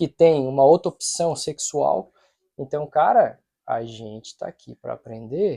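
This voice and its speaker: The speech moves at a fairly slow pace, with big swings in loudness. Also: man. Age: 40s. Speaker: podcast host. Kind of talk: casual chat.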